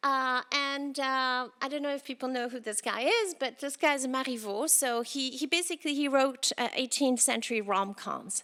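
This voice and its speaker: Bright and sharp in tone, this voice is raised and projected. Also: woman, high pitch for a woman, ordinary pitch variation, moderate pace, hardly any pauses. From France. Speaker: engineering professor. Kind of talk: invited lecture. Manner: hesitant, many fillers.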